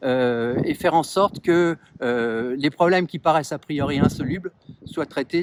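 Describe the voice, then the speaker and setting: The recording is very clean and the background silent. In it, a man talks at a moderate pace. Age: 60s. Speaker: municipal election candidate. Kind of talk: interview. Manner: halting, many hesitations.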